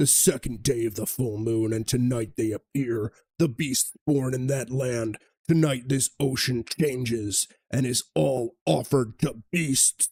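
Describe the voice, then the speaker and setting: At a fairly slow pace, a man uses a put-on character voice at medium pitch, the sound dry and close with no echo. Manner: dramatic narration.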